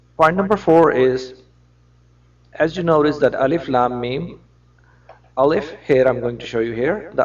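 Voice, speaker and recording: At a moderate pace, a man with a non-native accent talks at a fairly high pitch with ordinary pitch variation. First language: non-native English speaker. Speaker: religious lecturer. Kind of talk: religious lecture to camera.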